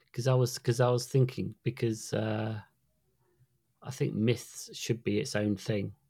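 A man with a British accent speaks in a somewhat breathy, medium-pitched voice, fairly slowly and with fairly even intonation, leaving long, frequent pauses. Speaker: podcast co-host. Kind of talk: casual chat. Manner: halting.

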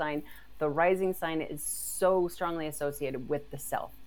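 Speech at a moderate pace with music playing in the background. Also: woman. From California. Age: 40s. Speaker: astrologer. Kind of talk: casual interview.

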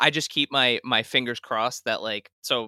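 On a very clean recording with a silent background and a dry, close sound with no echo, a man with an American accent speaks at medium pitch and a moderate pace, his tone bright and sharp and his intonation fairly even. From New Jersey.

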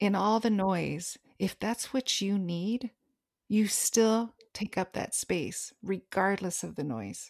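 A soft-spoken woman at a medium pitch and very slow pace, with ordinary pitch variation, in a very clean recording with a silent background and a dry, close sound with no echo. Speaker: executive coach and author. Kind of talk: casual interview conversation.

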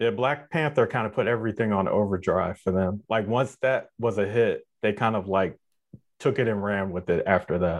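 A man's normal speaking voice with an American accent, very even in loudness, with ordinary pitch variation and a moderate pace, over a quiet background. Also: fairly low pitch for a man. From Minneapolis, Minnesota. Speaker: Air Force veteran, podcast panelist. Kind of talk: roundtable discussion. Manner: frequent filler words (uh).

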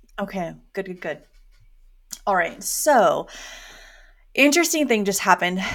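A woman's animated voice at medium pitch and moderate pace, with very wide pitch swings, big swings in loudness, and long, frequent pauses. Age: 30s. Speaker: podcast host and wedding photographer. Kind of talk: casual chat.

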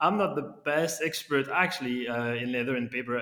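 A man speaks with a French accent. His pitch is medium, with ordinary variation. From France. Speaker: company founder. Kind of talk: interview. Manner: halting.

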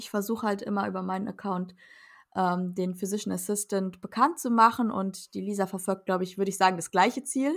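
Recorded very cleanly against a silent background, a woman with an ordinary speaking voice and medium pitch speaks at a moderate pace with ordinary pitch variation. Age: 20s. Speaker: podcast co-host, physician assistant. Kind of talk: casual chat.

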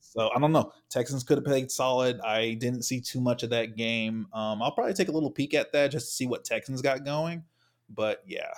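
Over a silent background in a very clean recording, a man speaks at a moderate pace and medium pitch, with ordinary pitch variation and a normal speaking voice. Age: 20s. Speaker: sports podcast co-host. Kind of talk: casual chat.

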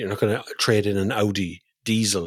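A man with an Irish accent at a fairly low pitch, in a very clean recording with a silent background. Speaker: motoring podcast host and video creator. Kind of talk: casual chat.

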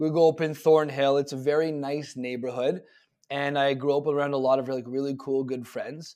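The speaker talks at a moderate pace in a Canadian accent, with a monotone, flat intonation. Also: man, fairly high pitch for a man. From Canada, Toronto suburbs. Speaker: fitness coach. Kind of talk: casual interview chat. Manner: hesitant, many fillers.

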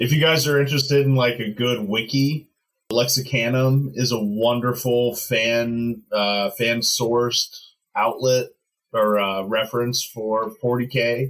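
A normal speaking voice from a man, medium-pitched and fairly even, at a fairly slow pace. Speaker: archaeologist. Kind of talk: casual chat.

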